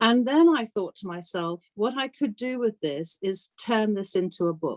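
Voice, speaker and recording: A woman with a British accent speaks at a moderate pace, her intonation lively. The recording is very clean, with a silent background. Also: fairly high pitch for a woman, dry, close sound with no echo. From Africa and UK boarding school. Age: 60s. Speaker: author. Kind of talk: interview.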